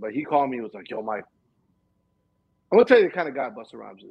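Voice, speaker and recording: A man with an American accent, loudness swinging widely, ordinary pitch variation, and long, frequent pauses. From Miami, Cuban American. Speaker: music video director and former rapper. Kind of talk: casual interview chat. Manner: fast.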